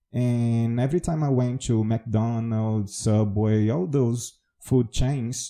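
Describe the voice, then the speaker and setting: With a Brazilian accent, a man of medium pitch speaks very slowly with hardly any pauses, a dark, mellow tone, fairly even intonation and very even loudness. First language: Portuguese. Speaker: English teacher. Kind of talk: podcast monologue.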